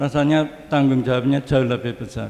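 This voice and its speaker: A man's fairly high-pitched voice in a monotone, flat intonation at a moderate pace. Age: 70s. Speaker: preacher. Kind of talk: sermon. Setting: church.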